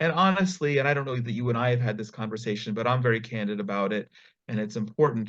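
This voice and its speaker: Speech in an American accent comes very fast against a quiet background, with ordinary pitch variation. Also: man, medium pitch for a man. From US, New York / New Jersey area. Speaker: nonprofit founder. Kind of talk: interview.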